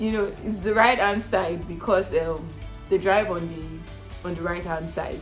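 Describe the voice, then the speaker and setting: A woman with a Nigerian accent at a fairly slow pace, music in the background. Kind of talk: casual talk to camera. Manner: chatty, frequent fillers.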